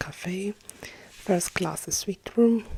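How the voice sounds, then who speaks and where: A woman speaks softly and at a very slow pace, with noticeable background noise around her. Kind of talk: ASMR roleplay reading of replica papers. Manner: soft-spoken.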